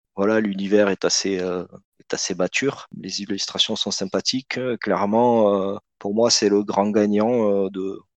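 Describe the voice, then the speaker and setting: A man speaks at a fairly slow pace in a fairly low, flat monotone, recorded with a dry, close sound with no echo over a quiet background. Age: 30s. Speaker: board game hobbyist. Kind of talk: casual chat.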